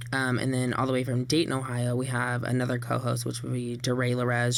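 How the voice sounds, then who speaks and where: A man at medium pitch, moderate pace, and flat, monotone intonation, with audible room echo and noticeable background noise. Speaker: drag performer. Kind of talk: radio interview. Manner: loud.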